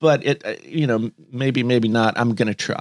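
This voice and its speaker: A man with an American accent talks at a moderate pace. The recording is very clean with a silent background and a dry, close sound with no echo. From West Virginia. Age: 40s. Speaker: musician. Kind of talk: reading aloud. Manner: halting.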